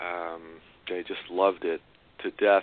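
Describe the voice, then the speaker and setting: A man with a New York accent talks at a fairly slow pace. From New York City. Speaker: co-author of a memoir. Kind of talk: interview. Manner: halting, many fillers and repeats.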